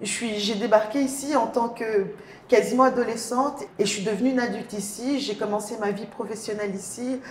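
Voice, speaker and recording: A woman at a fairly high pitch and moderate pace, fairly even in intonation, with audible room echo and noticeable background noise. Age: young. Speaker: podcast guest.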